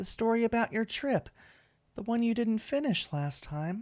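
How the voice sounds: The natural reading voice has lively intonation.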